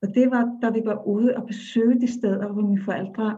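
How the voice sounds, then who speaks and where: A woman's somewhat breathy, medium-pitched voice with a dark, mellow tone, fairly even intonation and a moderate pace. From Iceland. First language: Icelandic (speaking Danish). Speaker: storyteller and dance facilitator. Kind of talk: interview conversation.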